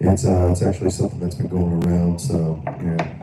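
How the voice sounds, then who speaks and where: This man talks at a moderate speed. He has an American accent. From Florida. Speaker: live stream political commentator. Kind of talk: live stream commentary. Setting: live stream. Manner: halting, repetitive.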